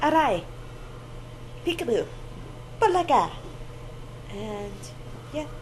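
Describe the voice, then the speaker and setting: Talking in an American accent, a woman is surrounded by audible room reverb and clear background noise. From United States. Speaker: vlogger. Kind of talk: casual vlog monologue. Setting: hospital.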